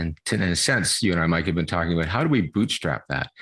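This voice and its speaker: Against a quiet background, a man with a very deep, low pitch and vocal fry talks at a very fast pace with lively intonation. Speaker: professor. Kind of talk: interview.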